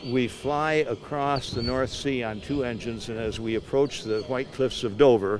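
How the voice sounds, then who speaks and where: A man speaks at a moderate pace with a medium pitch. His pitch varies in an ordinary way, and there is noticeable background noise. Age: 80s+. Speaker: war veteran. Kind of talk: interview. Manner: halting.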